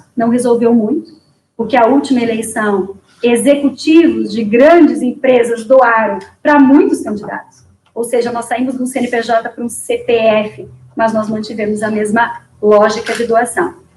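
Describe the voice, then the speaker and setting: A woman speaks in an ordinary speaking voice. Her pitch is fairly high. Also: ordinary pitch variation, moderate pace. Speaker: political candidate. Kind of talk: interview. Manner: formal.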